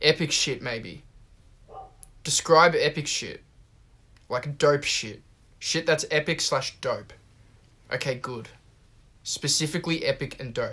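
Speaking in an Australian accent, the voice moves at a fairly slow pace. Long, frequent pauses break it up. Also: man. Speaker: podcast host. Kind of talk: casual chat.

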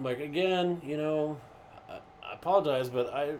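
Spoken at a moderate pace with ordinary pitch variation, the voice comes over noticeable background noise. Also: man. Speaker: podcast guest, co-worker of host. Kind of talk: casual chat.

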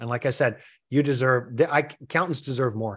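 With ordinary pitch variation, a man speaks fairly fast. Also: quiet background. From Canada. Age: 50s. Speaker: accounting business coach. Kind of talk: interview. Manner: animated.

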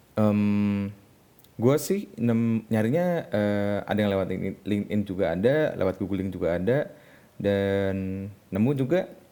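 Speaking at a very slow pace, a man uses a fairly low, dark, mellow voice with ordinary pitch variation. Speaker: podcast host, web developer. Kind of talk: casual solo monologue. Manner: halting, many fillers.

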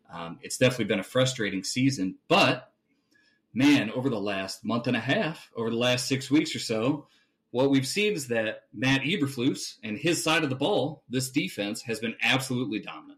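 Lively intonation marks this man's normal speaking voice, pitched medium and delivered at a moderate pace. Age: 30s. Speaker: sports podcast host. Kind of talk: casual chat.

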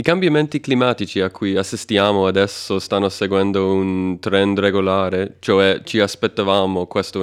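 With a non-native accent, a man speaks at a fairly low pitch and a moderate pace. His loudness stays very even, with hardly any pauses. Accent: foreign accent in Italian. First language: not Italian (speaking Italian). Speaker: podcast co-host. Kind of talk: interview. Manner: hesitant, many fillers.

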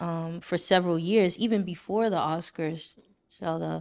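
On a very clean recording with a silent background, a woman with an American accent speaks at a fairly slow pace in a medium pitch, with ordinary pitch variation. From Brooklyn, New York (Haitian household). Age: 20s. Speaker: podcast host. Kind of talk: casual chat.

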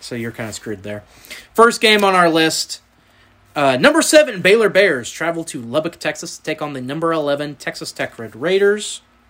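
Bright and sharp in tone, a man with a Southern US accent talks at a fairly high pitch, with very wide pitch swings and big swings in loudness. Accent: Southern US drawl. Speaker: sports podcast host. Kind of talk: casual chat.

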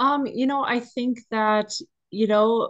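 Over a quiet background, a woman with an Upper Midwest accent speaks in fairly even intonation. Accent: sounds local, Upper Midwest. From northern Minnesota. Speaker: equine therapy counselor. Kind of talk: casual interview.

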